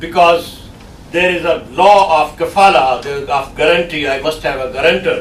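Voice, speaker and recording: A man's high voice at a moderate pace with ordinary pitch variation, amid audible room echo and noticeable background noise. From Pakistan. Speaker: guest lecturer. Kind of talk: lecture.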